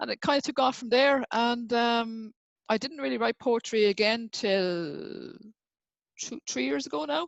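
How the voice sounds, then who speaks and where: Speaking in an Irish accent, a woman with a fairly high pitch uses very wide pitch swings. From Ireland. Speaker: writer and poet. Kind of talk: interview. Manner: fast; halting.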